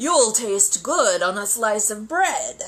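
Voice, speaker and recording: Very slowly, a woman delivers a put-on character voice. Her pitch sits fairly high. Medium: read story.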